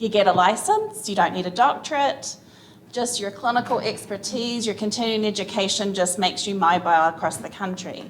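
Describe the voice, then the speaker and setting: A woman speaks with a New Zealand accent at a moderate pace and a medium pitch. Her pitch varies in an ordinary way, and there is audible room echo. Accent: New Zealand, noticeable. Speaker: physical therapist, conference panelist. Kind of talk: conference panel talk.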